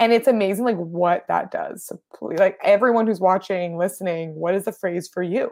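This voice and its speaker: A woman speaks at a medium pitch and a moderate pace, with ordinary pitch variation. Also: hardly any pauses. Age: 40s. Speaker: copywriter and brand mentor. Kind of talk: interview. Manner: animated.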